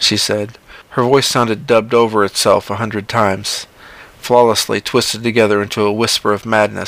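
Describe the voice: This is plain reading aloud.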